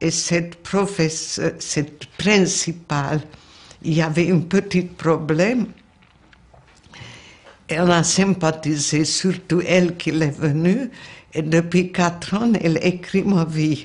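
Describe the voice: Speaking slowly with a Hungarian accent, a woman uses a fairly low pitch, ordinary pitch variation and a slightly mellow tone.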